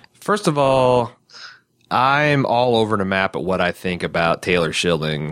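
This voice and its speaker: A man with an American accent, fairly low-pitched, fairly slow, with very wide pitch swings. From US Midwest. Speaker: podcast host. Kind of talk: casual chat.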